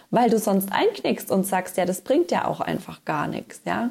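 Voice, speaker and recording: A woman speaks in a plain, everyday voice at a medium pitch, going at a fairly slow pace with lively intonation. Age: 30s. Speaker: podcast host, business coach. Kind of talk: solo podcast monologue. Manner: casual.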